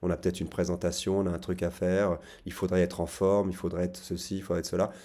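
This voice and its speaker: Very deep and low in pitch, this man's voice has a dark, mellow tone and fairly even intonation. He speaks at a fairly quick pace in a very clean recording with a silent background. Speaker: psychotherapist. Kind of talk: casual talk to camera. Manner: fast; halting, repeated words.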